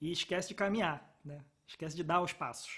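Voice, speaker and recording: A man with a fairly high pitch talks with fairly even intonation. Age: 30s. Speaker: podcast host. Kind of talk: casual chat.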